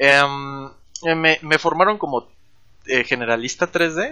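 A man speaks at a fairly slow pace in an ordinary speaking voice, with ordinary pitch variation. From Mexico, Chetumal, Quintana Roo. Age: 20s. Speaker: 3D environment artist. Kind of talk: casual interview.

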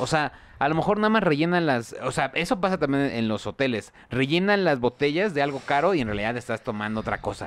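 Pausing hardly at all, a man talks at a fairly quick pace. His pitch is fairly high and his intonation lively. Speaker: podcast host. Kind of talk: casual chat. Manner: animated.

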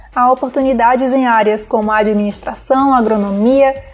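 Over noticeable background noise, a woman talks at a fairly slow pace in a high pitch with fairly even intonation. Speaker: radio co-host, journalist. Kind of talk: radio presenting. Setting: radio studio.

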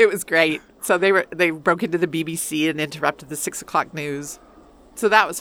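A woman at a fairly low pitch and fairly quick pace, fairly even intonation, with big swings in loudness. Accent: Western Canadian. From rural northern Alberta, Canada. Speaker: university dean and English professor. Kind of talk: interview conversation.

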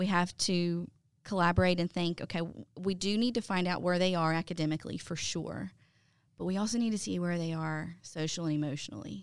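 With a Southern US accent, a woman talks at a fairly quick pace and a fairly low pitch in a very clean recording with a silent background. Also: ordinary pitch variation. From US South, Mobile area, Alabama. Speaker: ESL and English teacher. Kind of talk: interview. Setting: studio.

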